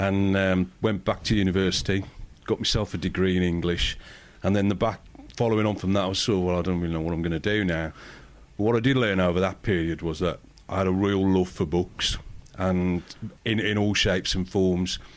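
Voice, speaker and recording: A man's very deep, low voice at a fairly quick pace, with fairly even intonation. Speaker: publisher. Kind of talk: podcast interview. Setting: pub.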